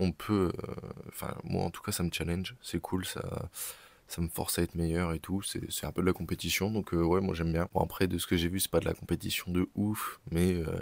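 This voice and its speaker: A man speaks at a moderate pace in a very deep, low voice with flat, monotone intonation, recorded dry and close with no echo. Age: 20s. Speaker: entrepreneur vlogger. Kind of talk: vlog. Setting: on the move, arriving at the bank. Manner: hesitant, many fillers; casual.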